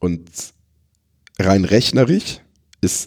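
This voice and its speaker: A man is talking. His pace is very slow. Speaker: WordPress security and maintenance consultant. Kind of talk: expert interview. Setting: recorded at a conference. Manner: frequent fillers and repetitions.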